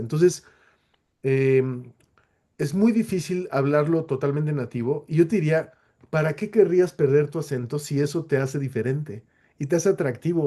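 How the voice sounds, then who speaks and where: Dark, mellow tone with a Latin American accent, ordinary pitch variation and a moderate pace. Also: man. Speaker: webinar speaker. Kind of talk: webinar Q&A. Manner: halting, many self-corrections.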